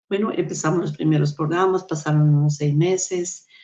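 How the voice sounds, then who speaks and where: Her voice has a dark, mellow tone and a very deep, low pitch for a woman. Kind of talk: testimony.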